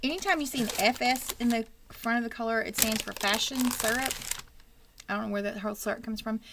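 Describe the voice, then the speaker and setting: A woman with a Texan accent talks at a very fast pace and a fairly high pitch, with fairly even intonation and noticeable background noise. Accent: Texan twang. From Texas. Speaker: wig shop host. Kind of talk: casual livestream chat.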